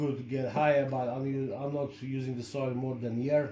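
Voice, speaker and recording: Someone with a Polish accent speaks at a fairly slow pace amid noticeable background noise and audible room echo. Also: man. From Poland. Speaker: shrimp-keeping hobbyist and video creator. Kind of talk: product review tutorial. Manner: halting, many fillers.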